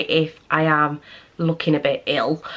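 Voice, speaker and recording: With a British accent, a woman speaks slowly-ish and flatly, in monotone intonation at a fairly low pitch and a fairly slow pace. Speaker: vlogger. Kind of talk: casual vlog talk.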